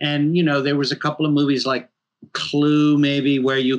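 Someone with an American accent speaks at a moderate pace. The background is quiet. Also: man. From New York. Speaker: horror filmmaker and game writer; guest. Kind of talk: interview. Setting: video call. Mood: reflective, relaxed. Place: home room. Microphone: video call.

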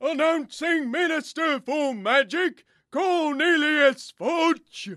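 A put-on character voice, high in pitch and very slow in pace. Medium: audio drama. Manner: loud, formal announcing.

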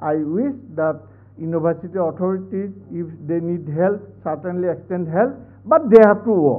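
A high-pitched man in an Assamese accent, moderate pace and ordinary pitch variation. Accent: Assamese-accented Indian English. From Assam, India. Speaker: vice chancellor; guest. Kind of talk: formal speech. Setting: stage with audience. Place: hall.

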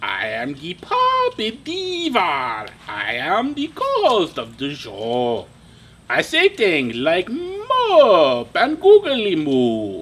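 At a very slow pace, a man speaks in a cartoonish character voice. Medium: puppet. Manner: dramatic, theatrical.

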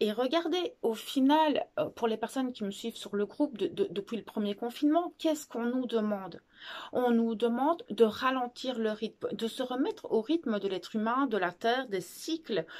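In a quiet background, a woman speaks at a moderate pace. Her pitch is high and her intonation lively. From Belgium, Ardennes; Belgium. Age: 30s. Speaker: video blogger on spirituality. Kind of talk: casual talk to camera, personal sharing. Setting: video recording, filmed alone. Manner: hesitant, many fillers and repetitions. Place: home room.

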